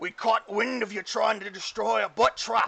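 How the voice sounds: A put-on character voice, raised and projected. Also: man.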